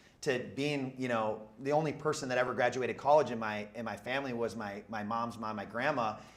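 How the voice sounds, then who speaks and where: Audible room echo surrounds a man who speaks at a fairly quick pace with fairly even intonation and hardly any pauses. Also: medium pitch for a man. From Minnesota, Twin Cities area. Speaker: real estate entrepreneur. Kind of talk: interview on stage. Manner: loud.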